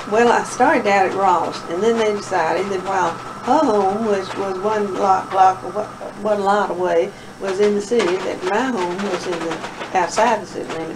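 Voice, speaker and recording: A woman with an American accent speaks at medium pitch and a moderate pace with ordinary pitch variation. Audible room echo and noticeable background noise come through. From Middle Tennessee. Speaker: oral history interviewee. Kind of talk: oral history interview.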